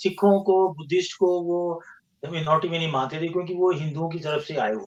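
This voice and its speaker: The man speaks at a high pitch for a man. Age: 60s. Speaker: engineer and scientist, podcast guest. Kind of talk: interview conversation. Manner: halting, with false starts.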